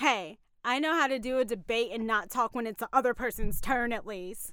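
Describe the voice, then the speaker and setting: Barely pausing, a woman delivers her words in a bright, sharp, animated tone with big swings in loudness on a very clean recording with a silent background. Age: 20s. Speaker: podcast co-host. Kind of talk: casual chat. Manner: animated, laughs often.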